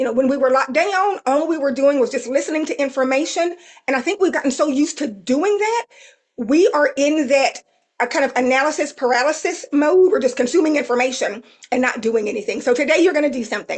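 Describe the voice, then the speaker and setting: A woman talks at a very fast pace in a Southern US accent. Her voice is high, with lively intonation. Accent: Southern twang. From South Texas. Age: 50s. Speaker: AI consultant and trainer. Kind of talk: webinar presentation. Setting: live webinar.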